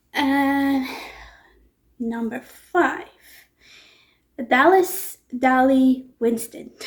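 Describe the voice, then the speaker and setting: A woman's high-pitched, mumbling voice at a very slow pace, with long, frequent pauses and ordinary pitch variation. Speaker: booktuber. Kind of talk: casual vlog talk. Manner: hesitant with fillers.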